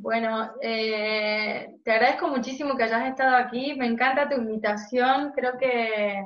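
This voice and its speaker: Audible room echo surrounds a woman with a fairly high pitch. She speaks at a fairly slow pace with fairly even intonation. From Argentina, Jujuy. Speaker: podcast co-host. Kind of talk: casual interview chat.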